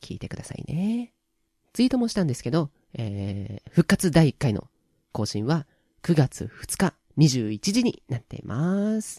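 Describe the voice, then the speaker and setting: Speaking at a moderate pace, a man has a fairly high pitch and a dark, mellow tone with very wide pitch swings. The sound is dry and close, with no echo. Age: 20s. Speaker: voice actor. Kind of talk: casual solo radio talk. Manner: not very loud.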